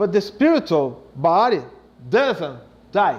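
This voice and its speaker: A man with a Brazilian Portuguese accent speaks at a very slow pace. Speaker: spiritist speaker, psychologist. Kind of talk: lecture. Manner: halting.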